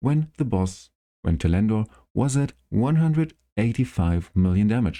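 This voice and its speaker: On a very clean recording with a silent background, a man with a non-native accent and a dark, mellow tone talks at a moderate pace while his pitch swings very widely. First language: not English. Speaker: gaming YouTuber. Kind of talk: tutorial. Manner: halting.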